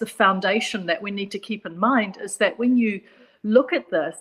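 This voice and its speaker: The speaker has a New Zealand accent and a moderate pace. The intonation stays fairly even. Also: woman. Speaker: psychologist. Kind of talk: panel discussion.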